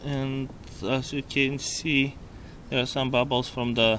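A man's slow, fairly bright voice with little pitch movement. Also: medium pitch for a man.

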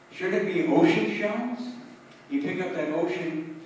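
With strong room echo around him, a man speaks at a fairly slow pace in a slightly mellow tone and with lively intonation.

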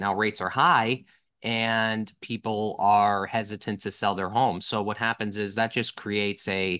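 Set against a quiet background, a man with a fairly low pitch and a bright, sharp tone speaks with fairly even intonation. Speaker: guest. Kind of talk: interview answer. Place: home room. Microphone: video call.

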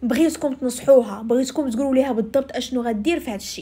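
Her tone is animated and her pitch high, with ordinary variation. The woman speaks at a fairly quick pace. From Morocco. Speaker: storytelling YouTuber. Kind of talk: storytelling. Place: car. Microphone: phone near.

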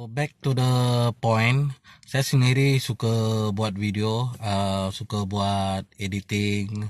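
A man speaks very slowly in a fairly low pitch with fairly even intonation. The sound is dry with no echo, and the background is quiet. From Sarawak, Bintulu; Sarawak, Malaysia. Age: 30s. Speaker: vlogger. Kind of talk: casual vlog monologue. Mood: reflective, earnest. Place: car. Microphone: phone near.

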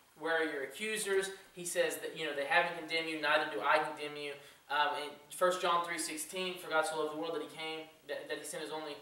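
A man speaks at a very fast pace. Audible room echo hangs on his voice. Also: fairly even intonation. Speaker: youth pastor. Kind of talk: sermon. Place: church. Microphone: camera far.

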